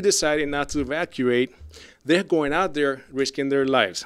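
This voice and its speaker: A man in a Puerto Rican accent speaks at a fairly high pitch with ordinary pitch variation, in a dry, close sound with no echo. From Puerto Rico. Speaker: rant commentator. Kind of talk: rant. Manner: animated.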